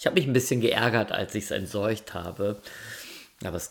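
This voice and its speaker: A man speaks at a moderate pace. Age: 50s. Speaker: sleep podcast host. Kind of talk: storytelling. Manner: calm; hesitant.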